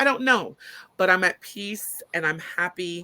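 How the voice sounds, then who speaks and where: This woman's voice is loud, with a bright, sharp tone. Her pitch sits in the medium range. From Brooklyn, Caribbean family. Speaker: business owner and college professor. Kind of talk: casual chat.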